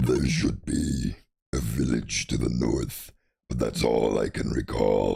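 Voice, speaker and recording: In a cartoonish character voice, a man growls out his lines with a raspy, very deep, low pitch at a fairly slow pace. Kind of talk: put-on cartoon villain robot voice. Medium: virtual streamer. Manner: flat, formal, mechanical.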